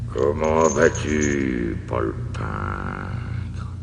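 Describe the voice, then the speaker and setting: A man talks in a put-on character voice. Loud background noise runs under him. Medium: read story.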